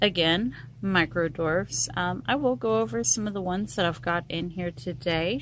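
Vocal fry and very wide pitch swings from a woman with a fairly low voice, in dry sound with no echo and light background noise. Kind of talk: casual garden tour vlog. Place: garden. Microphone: phone near.

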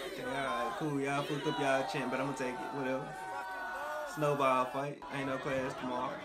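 Over crowd noise in the background, a man talks at a fairly quick pace. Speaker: video commentator. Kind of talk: casual reaction commentary. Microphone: earbuds.

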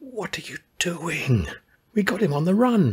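Quiet, hissing put-on character voice from a man, high in pitch, at a moderate pace. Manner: hissed, quiet, urgent.

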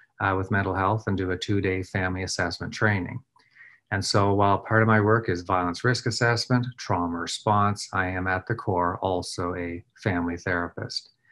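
In a Nova Scotian accent, a man with a very deep, low pitch speaks at a moderate pace with fairly even intonation. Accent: Nova Scotian Canadian English. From Nova Scotia, Canada. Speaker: trauma response and threat assessment expert. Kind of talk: recorded presentation. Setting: recorded video presentation. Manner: frequent filler words. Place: office. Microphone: webcam.

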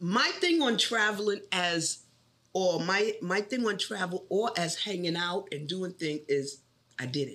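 Speaking at a fairly slow pace, a woman with a New York accent uses lively intonation. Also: medium pitch for a woman. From New York City. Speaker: bank tech support trainer. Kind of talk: interview.

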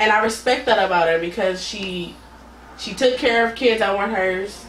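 Over light background noise and audible room echo, a woman speaks at a moderate pace with medium pitch and ordinary pitch variation. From Oakland, California; California. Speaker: podcast guest. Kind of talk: casual interview. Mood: warm, reflective. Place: home room.

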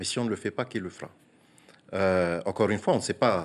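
A man talks at a fairly quick pace. His pitch is very deep and low, with ordinary variation. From French Polynesia. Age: 40s. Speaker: senator. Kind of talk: TV interview. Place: studio. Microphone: lapel.

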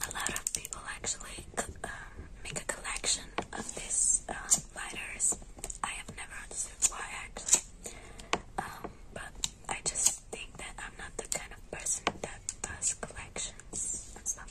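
A woman whispers at a fairly slow pace. Long pauses come often. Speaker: ASMR creator. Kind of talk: ASMR roleplay as a caring best friend, casual talk to camera. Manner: soft-spoken, friendly. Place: home room.

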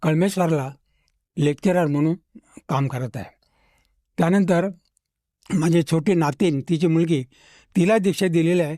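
In a dry, close recording with no echo, a man speaks with high pitch, ordinary pitch variation, and a dark, mellow tone. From Nagpur, Maharashtra. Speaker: retired mathematics professor. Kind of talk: testimony interview.

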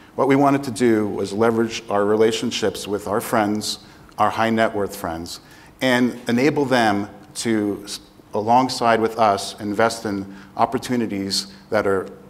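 A man speaks at a fairly slow pace. His intonation is fairly even. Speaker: panelist. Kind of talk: panel talk, self-introduction. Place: stage. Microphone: lapel.

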